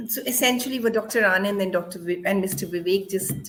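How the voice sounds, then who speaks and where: A woman talks at a medium pitch with ordinary pitch variation. Background noise is noticeable throughout. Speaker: panel moderator, doctor. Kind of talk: panel discussion. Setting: video call.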